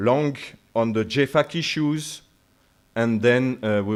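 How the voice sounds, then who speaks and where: A man with a French accent talks with ordinary pitch variation. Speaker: military officer. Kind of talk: lecture. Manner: halting, many fillers.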